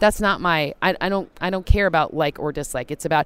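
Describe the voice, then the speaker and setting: Fairly low in pitch, a woman with an American accent talks at a very fast pace with ordinary pitch variation. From US Midwest, Michigan. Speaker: football analytics analyst. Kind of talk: interview.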